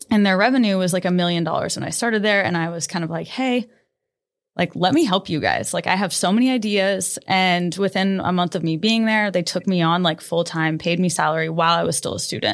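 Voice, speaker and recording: A woman with a medium pitch talks fairly quickly. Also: ordinary pitch variation. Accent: Midwestern US. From Nebraska. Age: 20s. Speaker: boutique owner. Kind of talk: casual interview.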